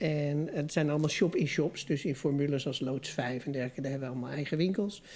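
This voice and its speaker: Talking at a fairly quick pace, a woman uses a very deep, low pitch, a dark, mellow tone and fairly even intonation. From Netherlands, Amsterdam. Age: 40s. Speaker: family business owner. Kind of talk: casual chat.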